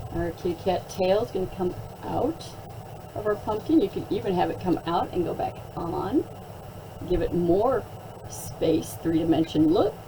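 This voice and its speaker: A woman at a moderate pace with long, frequent pauses, against noticeable background noise. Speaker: art teacher. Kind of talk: tutorial. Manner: animated.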